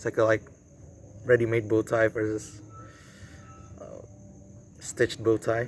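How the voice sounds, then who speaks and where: Speaking at a moderate pace, a man with an Indonesian accent talks at a medium pitch. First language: Indonesian or Javanese. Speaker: vlogger and traditional archer. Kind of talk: casual vlog talk to camera. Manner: halting, many fillers and repeats.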